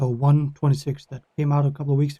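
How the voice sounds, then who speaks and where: This man has a Danish accent and a fairly high pitch. His voice is dark and mellow in tone and somewhat breathy. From Denmark. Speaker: gaming YouTuber. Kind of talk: casual talk to camera. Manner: halting; rambling.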